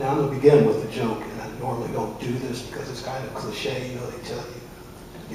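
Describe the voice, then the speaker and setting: A man at medium pitch with fairly even intonation, plus noticeable background noise and audible room echo. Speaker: interfaith minister. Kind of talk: sermon.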